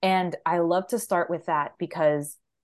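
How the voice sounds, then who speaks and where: Over a quiet background, a woman with an unremarkable speaking voice talks at a fairly low pitch with ordinary pitch variation. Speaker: career coach. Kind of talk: casual interview.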